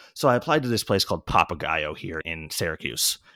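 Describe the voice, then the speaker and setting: With an American accent, a man speaks at a moderate pace on a very clean recording with a silent background. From central New York. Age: 30s. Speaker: former restaurant worker and maker. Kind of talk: casual interview.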